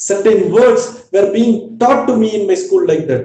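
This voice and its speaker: Audible room echo surrounds a man's voice. He keeps a moderate pace and fairly even intonation. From South India, Tamil-speaking. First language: Tamil. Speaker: company executive, webinar speaker. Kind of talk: webinar talk. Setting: online webinar. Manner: repetitive, emphatic.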